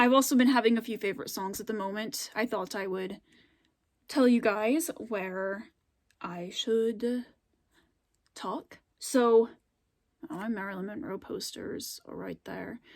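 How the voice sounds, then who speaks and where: Speaking with an American accent at a fairly slow pace, a woman uses a fairly high pitch with ordinary pitch variation and big swings in loudness. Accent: regional accent, comes out more on camera. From US, Scandinavian-settled area of a state. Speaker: YouTuber. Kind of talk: casual vlog chat. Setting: filmed at home late at night. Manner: hesitant, many fillers.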